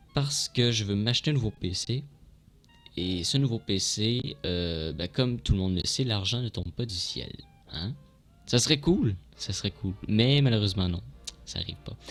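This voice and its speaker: Over music in the background, a man with a medium pitch speaks at a fairly slow pace with lively intonation. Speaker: gaming streamer. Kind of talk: casual vlog. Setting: at home at night, dark room. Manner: halting, many hesitations; quiet to avoid disturbing others.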